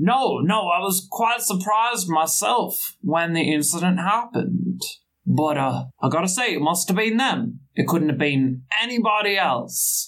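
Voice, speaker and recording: In a gruff, put-on character voice, the speaker uses lively intonation at a fairly slow pace with very even loudness. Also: man, high pitch for a man. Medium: actual play. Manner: blunt, casual.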